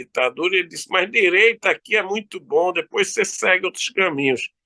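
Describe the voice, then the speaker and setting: With a dry, close sound and no echo, a man speaks at a fairly quick pace in a bright, sharp tone, his pitch varying in an ordinary way. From Brazil, Recife (Pernambuco). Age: 60s. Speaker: law professor. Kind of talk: interview.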